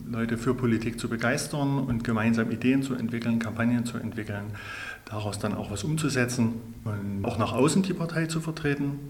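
At a moderate pace, a man talks amid audible room echo. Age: 40s. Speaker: local party chairman. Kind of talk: interview.

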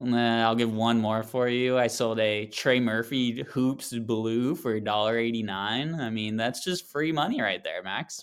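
A man speaks fairly slowly at a medium pitch with ordinary pitch variation, in a plain, everyday voice. The recording is very clean, with a silent background. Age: 20s. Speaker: sports card podcast host. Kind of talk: casual chat.

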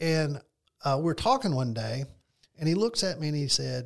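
At a moderate tempo, a man with a fairly high, somewhat breathy voice talks with ordinary pitch variation. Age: 60s. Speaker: financial advisor. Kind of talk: casual chat.

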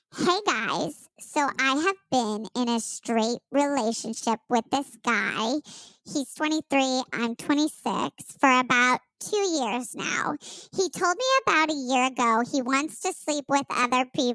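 A female-sounding voice does a put-on character voice pitched high. The pace is fairly slow. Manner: put-on reading voice.

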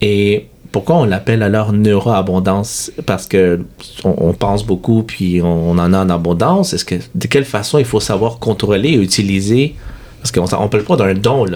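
Moderate pace amid noticeable background noise. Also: man, fairly low pitch for a man, ordinary pitch variation. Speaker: podcast host. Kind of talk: interview.

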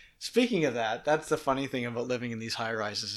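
A man with an East Coast Canadian accent speaks at medium pitch and a fairly quick pace with fairly even intonation, on a very clean recording with a silent background. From Nova Scotia, Canada. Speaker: guest who travels for work. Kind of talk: casual conversation, interview. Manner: conversational, chatty.

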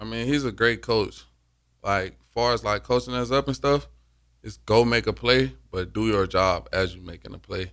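A man with a fairly low pitch speaks at a moderate pace with ordinary pitch variation in a very clean recording with a silent background. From Alabama. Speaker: college football player. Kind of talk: radio interview.

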